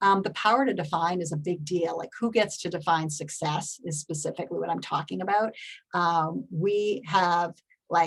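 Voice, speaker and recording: In a plain, everyday voice, a woman talks at a moderate pace with fairly low pitch and fairly even intonation. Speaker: public health advocacy executive, keynote speaker. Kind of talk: conference keynote talk. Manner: casual, conversational.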